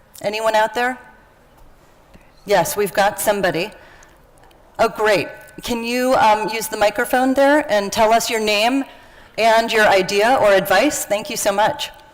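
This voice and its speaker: Over noticeable background noise, a woman with a fairly high pitch speaks at a fairly slow pace, leaving long, frequent pauses. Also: ordinary pitch variation. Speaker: workshop facilitator. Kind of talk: interactive workshop session.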